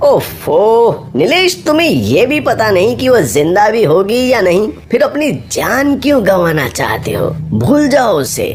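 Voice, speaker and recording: This man's high-pitched voice is a cartoonish character voice, delivered at a fairly slow pace. Background noise is clearly audible. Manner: serious, authoritative.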